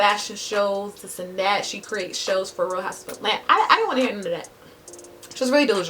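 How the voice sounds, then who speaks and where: Over noticeable background noise, a woman speaks at a very fast pace and medium pitch, with ordinary pitch variation and big swings in loudness. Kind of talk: casual storytime talk to camera.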